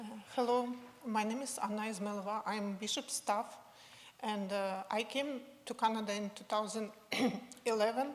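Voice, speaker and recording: A woman speaks in a Ukrainian accent at a fairly high pitch and a moderate pace. Her intonation is fairly even, broken by long, frequent pauses. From western Ukraine, Lviv. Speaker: university staff member. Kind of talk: personal testimony. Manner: halting.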